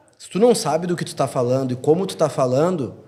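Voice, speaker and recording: A man's dark, mellow voice sits at a fairly high pitch, moving at a moderate pace with ordinary pitch variation. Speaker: real estate sales director. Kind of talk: podcast interview.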